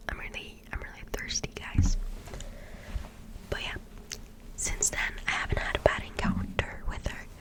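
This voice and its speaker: A woman whispers over noticeable background noise. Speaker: ASMR creator who works a drive-thru coffee job. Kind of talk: casual talk to camera, ASMR-style rambling. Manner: whispered, chatty.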